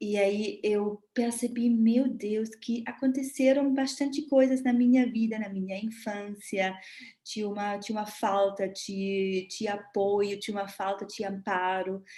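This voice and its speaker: A fairly high, somewhat breathy woman's voice with a dark, mellow tone, a fairly slow pace, fairly even intonation, and hardly any pauses. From Germany. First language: German (speaking Portuguese). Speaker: body therapist. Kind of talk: live talk. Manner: halting.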